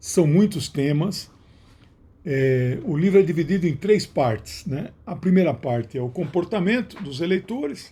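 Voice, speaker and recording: A man's high-pitched voice, dark and mellow in tone, at a fairly slow pace. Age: 60s. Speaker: sociologist and author. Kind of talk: book announcement monologue. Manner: some hesitations and restarts.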